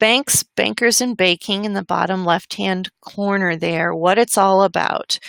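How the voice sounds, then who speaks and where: A woman speaks in an ordinary speaking voice at medium pitch, with fairly even intonation and a fairly slow pace. She hardly pauses, and the sound is dry and close with no echo. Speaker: webinar presenter. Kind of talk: educational webinar presentation. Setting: online webinar.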